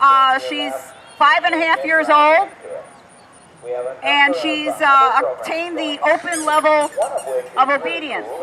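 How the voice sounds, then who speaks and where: Her voice is high-pitched and raised and projected, with fairly even intonation. The woman speaks at a fairly slow pace with long, frequent pauses over noticeable background noise. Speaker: dog agility trainer and demo commentator. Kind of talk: live commentary.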